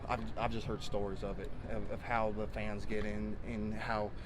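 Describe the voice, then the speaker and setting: A man with a Texan accent talks amid audible room echo. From Texas. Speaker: college football player. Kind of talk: interview. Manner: halting, many fillers.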